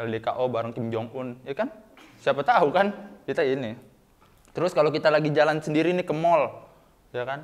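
Over a quiet background, a man talks at a fairly quick pace in a playful, animated tone with very wide pitch swings. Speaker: student stand-up comedian. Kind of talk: stand-up comedy. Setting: stage with audience. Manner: animated, cheeky self-deprecating punchlines; catchphrase-heavy, playful, with audience call-outs. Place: studio.

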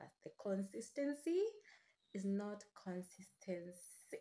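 A woman's dark, mellow tone with lively intonation. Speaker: vlogger. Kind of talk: casual vlog chat. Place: home room. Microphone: phone near.

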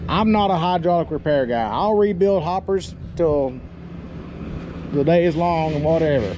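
A man talks over noticeable background noise. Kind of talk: casual vlog chat. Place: street. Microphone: phone near.

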